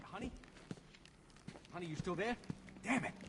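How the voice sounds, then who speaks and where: A man speaks fairly fast in a put-on character voice that is gruff and high-pitched. There is clear background noise. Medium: video game. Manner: gruff, colloquial.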